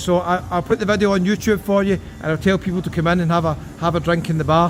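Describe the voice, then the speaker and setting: Over music in the background, a man with a strong Scottish accent speaks very fast at a high pitch. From Scotland. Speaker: travel vlogger. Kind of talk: travel vlog walkabout. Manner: animated.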